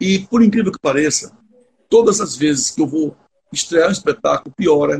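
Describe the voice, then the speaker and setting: A man speaks at a fairly quick pace. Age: 60s. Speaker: theatre actor. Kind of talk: casual chat.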